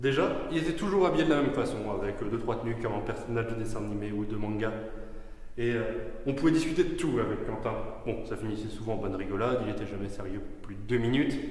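There is audible room echo around a man's voice. He talks at a fairly quick pace with ordinary pitch variation. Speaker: speaker. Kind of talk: funeral eulogy speech. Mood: light, anecdotal, with humor. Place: church. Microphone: podium.

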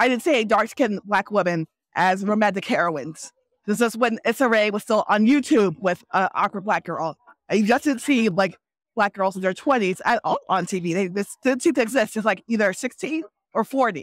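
In a normal speaking voice, a woman talks at a moderate pace with a fairly high pitch and lively intonation. The sound is dry and close, with no echo. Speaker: novelist. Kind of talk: casual interview. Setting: book festival floor.

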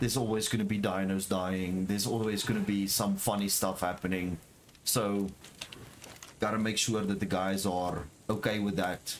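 A fairly low-pitched man with a South African accent, flat monotone intonation, moderate pace and very even loudness. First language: Afrikaans. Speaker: gaming streamer. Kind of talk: casual chat.

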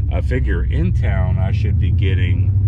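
A man speaks at a very slow pace. Loud background noise fills the dry sound, which has no echo. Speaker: truck owner vlogger. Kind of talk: casual vlog chat. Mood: relaxed, chatty. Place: car. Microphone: phone near.

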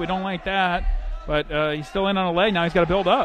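A man talks at a very fast pace in a high pitch. The sound is dry with no echo, and crowd noise runs in the background. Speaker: sports commentator. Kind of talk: live sports commentary, play-by-play of a wrestling match. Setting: broadcast from college gym with crowd. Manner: rapid, clipped play-by-play calls; energetic, friendly banter.

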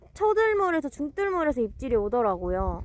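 This woman has a high-pitched voice. Her pitch swings very widely. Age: 20s. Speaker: fishing live streamer. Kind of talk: live stream chat. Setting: outdoors at a fishing spot. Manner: animated.

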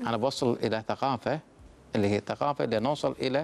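In a normal speaking voice, someone talks at a fairly quick pace with lively intonation. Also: man. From Kuwait. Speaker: municipal government official; guest. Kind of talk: TV interview. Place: studio. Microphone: lapel.

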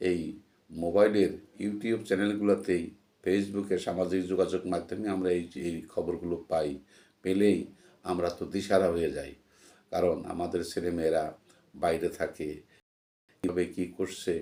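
A man speaks with a very deep, low pitch. His tone is dark and mellow, his intonation monotone and flat. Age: 60s. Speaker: YouTube commentator, retired employee. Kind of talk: solo political commentary monologue. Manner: halting.

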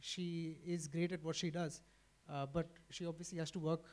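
A man with a high-pitched voice speaks at a moderate speed. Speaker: panelist. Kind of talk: panel discussion answer. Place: stage. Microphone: handheld.

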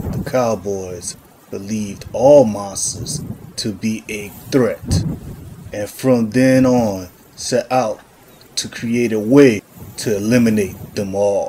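A put-on character voice carries the lines. Delivery runs fairly slowly. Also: man, medium pitch for a man. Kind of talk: gritty western noir narration.

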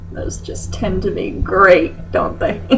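A woman speaks with faint music playing in the background. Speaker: comedy vlogger. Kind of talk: comedic reading of fanfic with commentary. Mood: sarcastic, mock-disgusted. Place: home room. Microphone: webcam.

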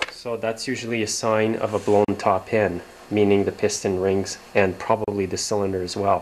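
A man's plain, everyday voice at a fairly low pitch, over light background noise. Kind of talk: tutorial. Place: workshop. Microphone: camera far.

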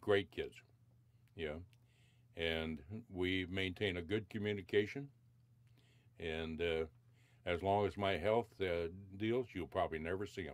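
A man with an American accent and a very deep, low voice speaks at a fairly slow pace with ordinary pitch variation. He takes long, frequent pauses, and the recording is very clean with a silent background. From US West (Nevada, northern California). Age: 60s. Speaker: senior center resident. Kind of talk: oral history interview.

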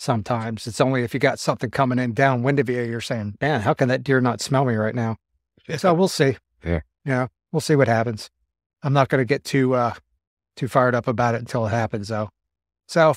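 In a dry recording with no echo and a quiet background, a man talks at a fairly quick pace with ordinary pitch variation. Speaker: podcast co-host. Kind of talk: casual podcast chat. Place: home room.

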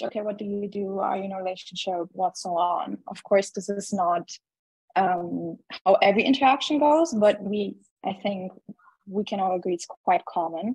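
A woman speaks in a somewhat breathy voice. The sound is dry with no echo, over a quiet background. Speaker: event participant. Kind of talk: casual discussion. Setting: video call. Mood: thoughtful, conversational. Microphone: video call.

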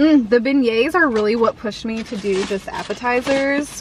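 Against noticeable background noise, a woman with a Southern US accent speaks at fairly high pitch in a dry sound with no echo. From US South. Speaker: food vlogger. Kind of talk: casual vlog taste test. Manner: animated. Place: car. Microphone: phone near.

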